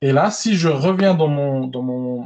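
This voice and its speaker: With a strong Belgian accent, a man speaks in a fairly high pitch with ordinary pitch variation. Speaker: tech presenter. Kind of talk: online tech webinar demo. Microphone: slight echo.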